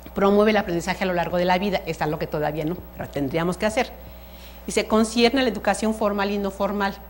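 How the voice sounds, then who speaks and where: At a very fast pace, a woman talks with vocal fry. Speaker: museum educator. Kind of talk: lecture. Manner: halting.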